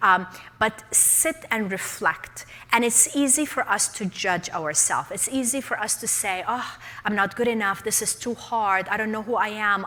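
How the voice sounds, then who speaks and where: With a non-native accent, a woman talks in an animated tone. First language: not English. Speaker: leadership speaker and coach. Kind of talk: workshop talk.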